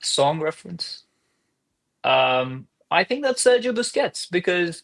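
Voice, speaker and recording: Someone with a non-native accent speaks at a fairly slow pace, the pitch swinging very widely. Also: man. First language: not English. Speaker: soccer podcast co-host. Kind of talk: casual chat.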